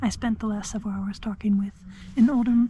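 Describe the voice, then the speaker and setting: A soft-spoken woman's voice in a monotone, flat intonation. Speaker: thru-hiker vlogger. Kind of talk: casual vlog narration. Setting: outdoors on a hiking trail; in a tent at a campsite.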